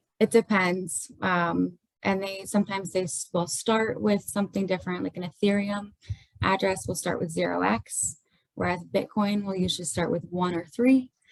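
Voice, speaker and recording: A woman has a normal speaking voice at medium pitch, talking at a moderate pace with ordinary pitch variation. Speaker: forensic accountant. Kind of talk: webinar explanation. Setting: video webinar.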